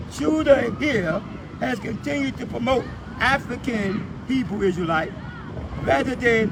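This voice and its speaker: Over noticeable background noise and audible room echo, a man speaks in an animated tone with a high pitch. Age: 70s. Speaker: street preacher and activist. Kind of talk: heated argument filmed live.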